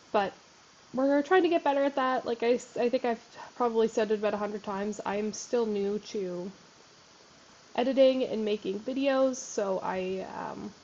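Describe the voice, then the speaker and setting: A woman speaks in a fairly high pitch with ordinary pitch variation. Noticeable background noise runs underneath. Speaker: gaming youtuber. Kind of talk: casual gameplay commentary. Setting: home desk recording. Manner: fast.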